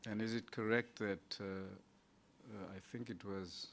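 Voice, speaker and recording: A man's fairly low, monotone, flat voice with a non-native accent, at a very slow pace. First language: not English. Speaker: judge on interview panel. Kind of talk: job interview.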